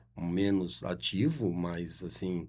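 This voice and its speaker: This man's voice sits very deep and low, with a dark, mellow tone. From Brazil, Adamantina, São Paulo state. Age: 70s. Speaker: guest, local politics figure. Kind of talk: radio interview. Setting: studio. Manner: halting, many fillers.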